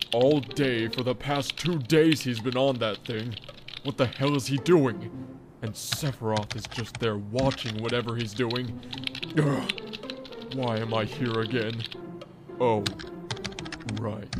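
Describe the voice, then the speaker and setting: Using a put-on character voice at medium pitch, a man talks at a fairly slow pace with long, frequent pauses amid clear background noise. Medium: machinima. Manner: sarcastic, grumbling.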